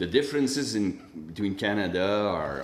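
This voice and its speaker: A man with a Quebec accent speaks at a fairly low pitch with lively intonation. Audible room echo fills the recording. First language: French. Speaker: public health official. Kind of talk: conference question and commentary. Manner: halting, many restarts and repetitions.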